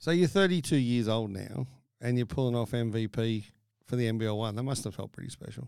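Speaking very fast, a man talks in an Australian accent. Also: medium pitch for a man, ordinary pitch variation. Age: 50s. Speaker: podcast host. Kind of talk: casual interview chat. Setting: studio.

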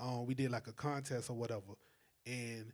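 Someone speaks in a South Carolina accent at a moderate pace, keeping the intonation fairly even. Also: man. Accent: Southern US (South Carolina). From South Carolina (Calhoun County). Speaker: music curator and talent developer. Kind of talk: casual podcast interview.

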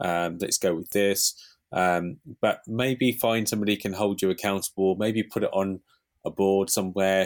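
With a British accent, the speaker goes at a moderate pace with fairly even intonation on a very clean recording with a silent background. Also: man, fairly low pitch for a man. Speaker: marketing podcast host. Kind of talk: casual chat.

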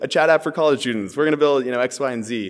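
A man talks at a very fast pace. He speaks with a Californian accent. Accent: General American (California). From US West Coast, San Francisco. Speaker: startup co-founder and CTO. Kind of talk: casual interview chat.

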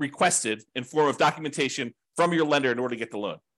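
A man races along at a very fast pace with lively intonation. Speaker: real estate investing teacher. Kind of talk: class lecture.

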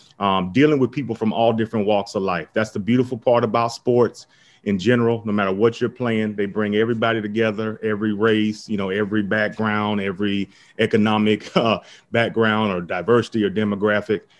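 With an American accent, a man talks at a fairly quick pace in a fairly low pitch, his intonation monotone and flat. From US South, Tampa, Florida. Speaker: entrepreneur. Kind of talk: interview.

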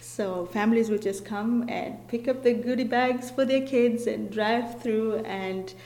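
Noticeable background noise fills the clip. Through it, a woman talks at a fairly slow pace. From Kenya. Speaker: community program coordinator. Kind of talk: interview.

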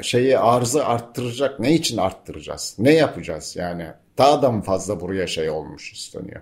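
Vocal fry marks this man's medium-pitched voice, which swings very widely in pitch. The recording is very clean, with a silent background. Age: 60s. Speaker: environmental journalist and local councillor. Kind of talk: radio interview. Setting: cooperative building near town square, open to outside sounds.

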